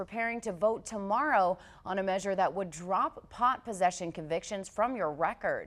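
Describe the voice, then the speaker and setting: A woman speaks with an unremarkable speaking voice at a moderate pace. Her pitch sits in the medium range. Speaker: TV news anchor and reporter. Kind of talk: TV news anchor and reporter read.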